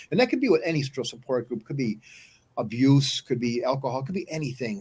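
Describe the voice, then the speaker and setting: Somewhat breathy, a man speaks at a fairly quick pace in a fairly high pitch with ordinary pitch variation. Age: 60s. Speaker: stroke survivor, inspirational show host. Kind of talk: interview. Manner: halting, many repetitions.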